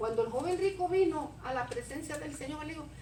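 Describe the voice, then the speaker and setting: The voice has an animated tone and a moderate pace. Audible room echo surrounds it. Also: woman. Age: 60s. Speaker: preacher. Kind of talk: sermon.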